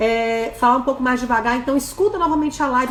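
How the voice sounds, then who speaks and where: A woman speaks in a high pitch with an animated tone. Audible room echo and noticeable background noise fill the recording. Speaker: dentist and course instructor. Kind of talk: live webinar lecture. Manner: very fast.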